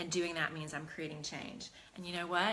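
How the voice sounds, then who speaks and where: Her delivery is fairly quick. This woman's voice has a bright, sharp tone. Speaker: talk show host and life coach. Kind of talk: casual chat with viewers; live-streamed motivational talk. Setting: studio, Facebook Live stream. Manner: fast at the start, calmer later.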